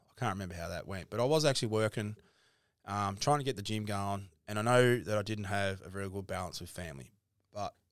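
On a very clean recording with a silent background, the speaker talks very fast with an Australian accent and ordinary pitch variation. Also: man. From Tasmania, Burnie. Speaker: gym owner. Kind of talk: casual chat.

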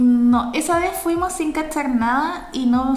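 A woman with a Chilean accent speaks at a very slow pace and a high pitch, with ordinary pitch variation. Noticeable background noise is present. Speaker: podcast co-host. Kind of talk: casual chat. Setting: remote recording.

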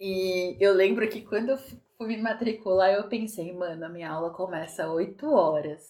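This woman speaks at a medium pitch. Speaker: podcast co-host. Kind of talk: casual chat. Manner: frequent laughter.

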